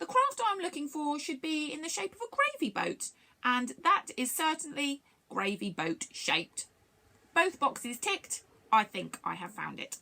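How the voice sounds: In a put-on character voice, a woman speaks high and fairly slowly, with big pitch swings, vocal fry, and a bright, sharp tone.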